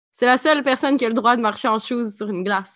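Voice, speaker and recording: The voice has an animated, bright, sharp tone with ordinary pitch variation. It speaks in a Quebec accent over a quiet background. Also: woman. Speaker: podcast co-host. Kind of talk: casual chat.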